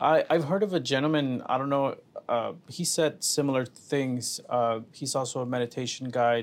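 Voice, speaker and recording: On a very clean recording with a silent background, a man of medium pitch has an unremarkable speaking voice, ordinary pitch variation and a moderate pace. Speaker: podcast host. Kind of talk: casual interview chat.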